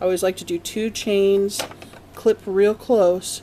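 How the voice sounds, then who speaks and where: A woman speaks at a medium pitch. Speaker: crochet instructor. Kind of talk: tutorial. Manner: casual.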